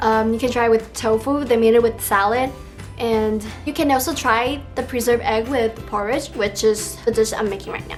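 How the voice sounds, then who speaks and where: With a Taiwanese accent, a woman speaks at a moderate pace in a fairly high pitch with fairly even intonation. Music plays in the background. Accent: Taiwanese Mandarin-accented English. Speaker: home cook. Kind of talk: cooking tutorial voiceover. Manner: casual, friendly.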